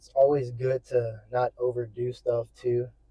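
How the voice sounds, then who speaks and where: A man speaks in a medium-pitched, somewhat breathy voice with a dark, mellow tone. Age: 20s. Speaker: fitness vlogger. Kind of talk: casual vlog monologue. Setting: in a car. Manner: casual, rambling.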